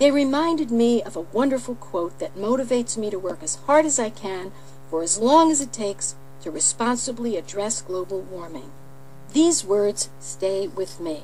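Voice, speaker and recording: A woman with an American accent speaks at a moderate pace, her pitch swinging very widely. Noticeable background noise runs behind her. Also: medium pitch for a woman. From California. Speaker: politician. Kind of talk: political radio address.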